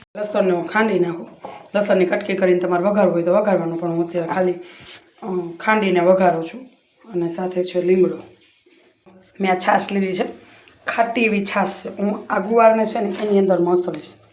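A soft-spoken woman's medium-pitched voice with fairly even intonation, with audible room echo and noticeable background noise. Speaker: cooking video creator. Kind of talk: cooking tutorial. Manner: casual, chatty.

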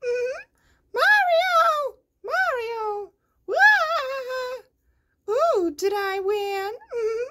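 This put-on character voice sits at an extremely high pitch and moves at a very slow pace. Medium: voice reel.

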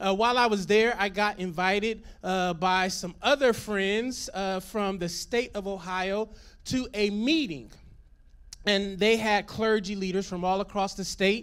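Against a quiet background, a man speaks at a high pitch with fairly even intonation. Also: fairly slow pace. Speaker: pastor. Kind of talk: sermon. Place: stage. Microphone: handheld.

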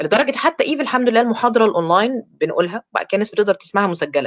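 Over a quiet background, a woman with an Egyptian accent talks at a very fast pace with very wide pitch swings. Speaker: dentist and course lecturer; course lecturer. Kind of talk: online lecture. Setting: live stream. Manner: talkative. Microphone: webcam.

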